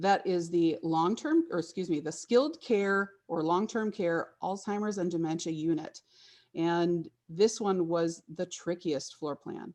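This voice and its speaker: Against a quiet background, a woman with a normal speaking voice talks at a fairly slow pace, her fairly low pitch showing ordinary variation. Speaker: interior designer presenting a project. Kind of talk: webinar presentation.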